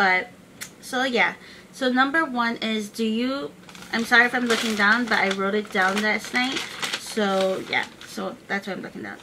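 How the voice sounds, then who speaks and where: Through noticeable background noise, a woman speaks at a moderate pace in a fairly high pitch with ordinary pitch variation. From United States, moved from the Philippines at 8. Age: 20s. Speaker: YouTube vlogger. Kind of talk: casual vlog. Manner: casual, many filler words.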